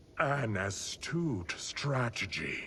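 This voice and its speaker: In a raspy, put-on character voice, a man speaks at medium pitch over clear background noise. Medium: video game.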